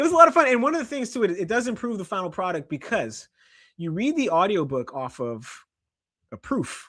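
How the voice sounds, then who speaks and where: A man at a fairly quick pace with very wide pitch swings, in a very clean recording against a silent background. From Canada. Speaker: journalist and author. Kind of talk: interview. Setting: live stream.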